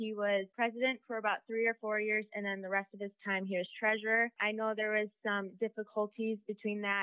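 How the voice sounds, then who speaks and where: A woman speaks with an American accent at a fairly high pitch. Her intonation stays flat and monotone. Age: young. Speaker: student. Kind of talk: interview.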